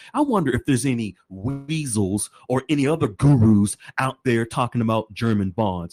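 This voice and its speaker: A man's animated, medium-pitched voice with ordinary pitch variation, very even loudness and hardly any pauses, dry and close with no echo, over music in the background. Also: moderate pace. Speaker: podcast host. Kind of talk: podcast commentary reading legal document.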